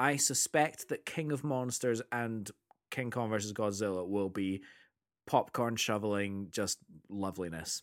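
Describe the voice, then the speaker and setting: A man with a Scottish accent at a fairly slow pace, on a very clean recording with a silent background. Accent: Scottish (Edinburgh area). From Scotland, near Edinburgh. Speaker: podcast co-host and music teacher. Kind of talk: casual chat. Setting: recording late evening after work.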